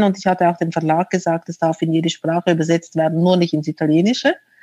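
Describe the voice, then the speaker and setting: Recorded with a dry, close sound and no echo, a woman speaks at a fairly low pitch. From Switzerland. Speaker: author. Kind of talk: interview. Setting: remote call from home.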